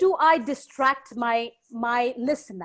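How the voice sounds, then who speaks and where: This woman speaks with a Bengali accent. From India, Bengal. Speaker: lecturer. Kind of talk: Q&A session. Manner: halting.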